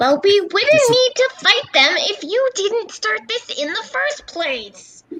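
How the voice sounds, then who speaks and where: This put-on character voice sits at an extremely high pitch, with very wide pitch swings and a fairly slow pace. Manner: aggravated, irritated.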